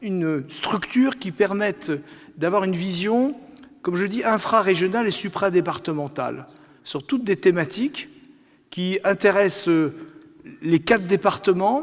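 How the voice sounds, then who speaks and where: Here a man speaks with a high pitch and ordinary pitch variation. He goes at a fairly slow pace, with long, frequent pauses. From Lorraine, France (Nancy). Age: 60s. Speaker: regional politician. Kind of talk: conference speech. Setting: theatre stage with audience. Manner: hesitant, many fillers.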